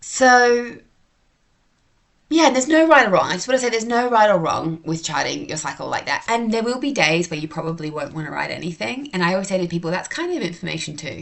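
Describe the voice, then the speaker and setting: Very fast talking comes from a woman at a medium pitch. Her pitch swings very widely. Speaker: podcast host. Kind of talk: casual educational monologue.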